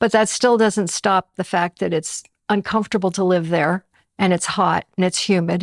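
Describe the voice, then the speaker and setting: A woman with an ordinary speaking voice and ordinary pitch variation is heard in a very clean recording, dry and close with no echo and a silent background. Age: 60s. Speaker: retiree. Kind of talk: interview.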